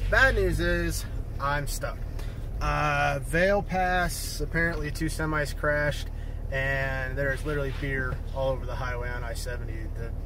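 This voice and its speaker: A man speaks at a fairly slow pace in a dry sound with no echo, with noticeable background noise behind him. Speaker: vlogger on a road trip. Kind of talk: casual vlog chat. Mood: mildly frustrated, resigned. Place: car. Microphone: phone near.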